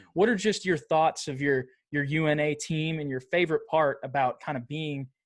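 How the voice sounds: At a moderate pace, a man speaks in a fairly high pitch with ordinary pitch variation.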